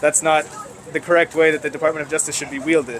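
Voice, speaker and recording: Over noticeable background noise, a man with a fairly high pitch speaks in a monotone, flat way. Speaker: protester. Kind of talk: street interview. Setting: outdoors at a protest. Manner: articulate, measured.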